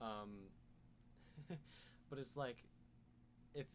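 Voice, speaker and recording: With normal rises and falls in pitch, a man delivers his words at a medium tempo. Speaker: podcast co-host. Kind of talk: casual chat.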